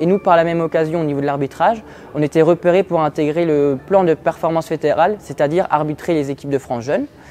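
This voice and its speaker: Over music in the background, a man talks at a very fast pace in a high pitch. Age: 20s. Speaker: university student and handball referee. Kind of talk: prepared personal profile talk. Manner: measured, with hesitations.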